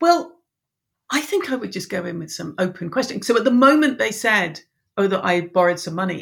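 Speaking at a fairly quick pace in an English accent, a woman with a medium pitch and a somewhat breathy voice makes very wide pitch swings and big swings in loudness. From Ireland. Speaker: business coach. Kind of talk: casual interview chat.

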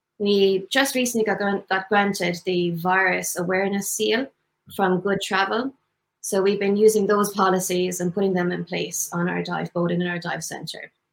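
A woman with an Irish accent, medium in pitch, ordinary pitch variation, moderate pace. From Tipperary, Ireland. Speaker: dive instructor. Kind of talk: interview promoting business.

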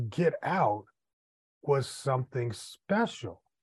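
In an American accent, a man speaks very slowly at a fairly high pitch, somewhat breathy. His pitch swings very widely against a quiet background. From US Midwest. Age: 50s. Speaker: podcast host, entrepreneur and author. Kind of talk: casual interview.

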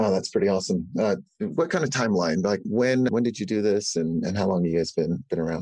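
Speaking very fast with hardly any pauses, a man with a fairly low, dark and mellow voice uses lively intonation. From Uganda, moved to US at seven. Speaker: podcast host. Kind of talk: interview.

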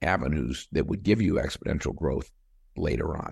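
Against a quiet background, a man speaks at a very deep, low pitch with vocal fry. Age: 60s. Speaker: company CEO. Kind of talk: interview.

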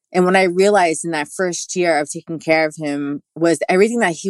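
A woman speaks with a New York accent in a fairly low voice. Her pitch variation is ordinary, and the background is quiet. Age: 40s. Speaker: spiritual practitioner, toe reader. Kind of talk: interview, personal testimony.

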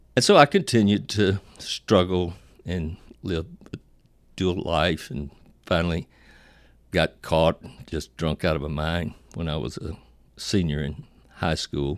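With long, frequent pauses, a man speaks at a fairly slow pace in a very deep, low pitch with ordinary pitch variation, on a very clean recording with a silent background and a dry, close sound with no echo. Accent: American. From Virginia. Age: 70s. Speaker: speaker and counselor. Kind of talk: personal testimony. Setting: office.

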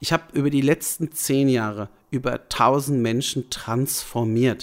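A man's medium-pitched voice, with ordinary pitch variation, comes through a very clean recording against a silent background. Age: 30s. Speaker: fitness and nutrition coach. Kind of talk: solo podcast monologue. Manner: casual, somewhat halting with fillers.

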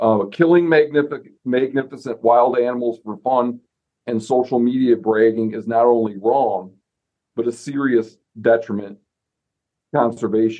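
A man with a normal speaking voice talks at medium pitch. His pace is moderate and his intonation fairly even. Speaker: podcast host. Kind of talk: casual chat.

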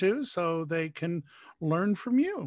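A man's plain, everyday voice, fairly high in pitch, in a very clean recording with a silent background. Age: 50s. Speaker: podcast host. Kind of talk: interview.

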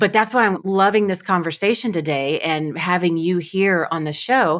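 A woman's unremarkable speaking voice, medium in pitch, with lively intonation at a moderate pace. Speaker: podcast host and coach. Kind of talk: interview conversation.

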